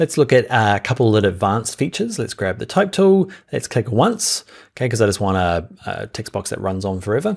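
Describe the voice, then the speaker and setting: A man speaks at a medium pitch with a New Zealand accent, his voice swinging very widely in pitch. The pace is fairly quick, and the recording is very clean with a silent background. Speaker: software instructor. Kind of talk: tutorial. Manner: casual, conversational.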